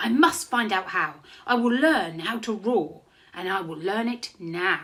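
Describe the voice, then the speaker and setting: In a squeaky, put-on character voice, a female-sounding speaker talks at a fairly slow pace with a medium pitch. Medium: read story. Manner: small, hesitant.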